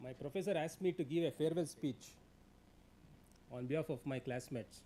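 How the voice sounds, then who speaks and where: With an Indian accent, a man speaks at a fairly high pitch in a dark, mellow tone with ordinary pitch variation. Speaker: labour law expert, guest speaker. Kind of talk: seminar talk. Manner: fast; hesitant with fillers.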